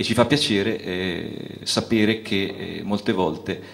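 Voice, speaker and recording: The man's pitch moves up and down in an ordinary way as he talks. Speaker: festival host. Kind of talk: stage introduction of a guest poet. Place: stage. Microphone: handheld.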